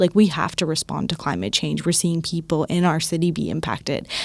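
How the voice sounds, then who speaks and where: A woman with a Canadian accent has a normal speaking voice. She talks at a fairly quick pace and a fairly low pitch. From Toronto, Canada (Scarborough). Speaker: climate change campaigner. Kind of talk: casual chat.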